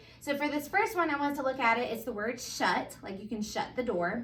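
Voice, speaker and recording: A woman speaks with a Southern US accent. Her pitch varies in an ordinary way. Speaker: first grade teacher. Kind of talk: tutorial.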